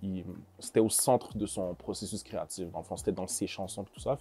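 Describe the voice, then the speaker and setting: Over a silent background in a very clean recording, a man speaks fairly quickly in a dark, mellow tone. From Montreal, Quebec. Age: 20s. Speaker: rapper. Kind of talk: interview. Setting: studio. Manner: hesitant, many fillers.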